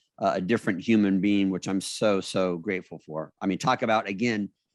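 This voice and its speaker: In an unremarkable speaking voice, a man talks at a fairly low pitch with ordinary pitch variation against a quiet background. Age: 60s. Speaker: beauty industry business owner and motivational speaker. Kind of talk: casual interview.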